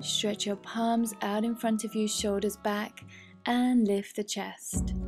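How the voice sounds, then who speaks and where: Over music in the background, a woman with a fairly high pitch talks at a very slow pace in a calm tone, her intonation monotone and flat. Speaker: yoga instructor. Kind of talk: guided yoga class instruction. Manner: calm, instructional.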